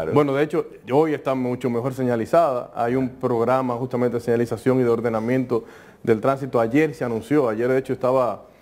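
In a Dominican accent, a man talks at a fairly quick pace with monotone, flat intonation. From Dominican Republic, San Cristóbal; Dominican Republic. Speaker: politician. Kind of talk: TV interview. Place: studio. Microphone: lapel.

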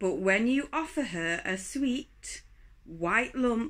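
Over a quiet background, a woman speaks in a gentle tone with very wide pitch swings. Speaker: poetry reader, channel host. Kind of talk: poetry reading, calm daily read-aloud. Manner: slow, gentle, measured. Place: home room. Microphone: phone near.

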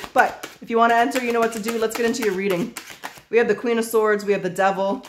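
The speech comes very fast over noticeable background noise. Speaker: tarot reader. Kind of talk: tarot reading commentary.

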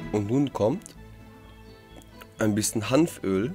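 Over music in the background, a man speaks in a fairly low pitch with ordinary pitch variation. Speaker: cooking show host. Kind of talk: voice-over narration re-recorded in post. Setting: studio microphone. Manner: sarcastic, joking.

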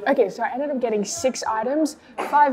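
A woman's voice over noticeable background noise. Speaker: food vlogger. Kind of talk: casual vlog chat. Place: cafe. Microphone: lapel.

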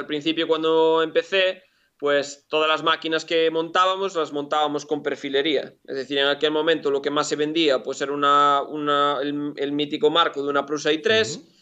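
A man speaks at a moderate pace with a fairly high pitch. His is an unremarkable speaking voice, heard against a quiet background. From Galicia, Spain. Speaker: engineer and shop owner; interview guest. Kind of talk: interview. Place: workshop. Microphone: video call.

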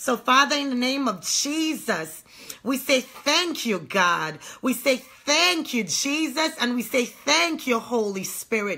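A woman speaks in a high pitch at a very slow pace. Her pitch swings very widely. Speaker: online ministry host. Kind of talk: sermon introduction and prayer. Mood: fervent, prayerful. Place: home room. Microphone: phone near.

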